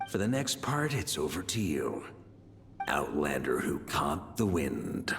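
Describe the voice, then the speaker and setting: Against clear background noise, a man puts on a character voice with a very deep, low pitch, very wide pitch swings and a fairly slow pace. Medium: machinima. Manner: casual, confident.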